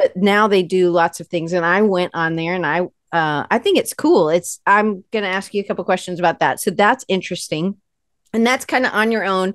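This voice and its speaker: In an American accent, a woman talks at a fairly quick pace and medium pitch, with a dry sound with no echo and a quiet background. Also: ordinary pitch variation. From US South, Atlanta; US South. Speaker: podcast host; interview host. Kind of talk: interview. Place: home room. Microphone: earbuds.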